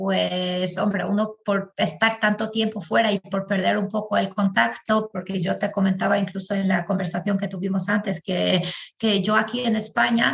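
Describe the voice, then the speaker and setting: A woman with an Albanian accent speaks with hardly any pauses. Her pitch is medium and its variation ordinary. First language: Albanian (speaking Spanish). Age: 30s. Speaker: podcast guest. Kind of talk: interview conversation.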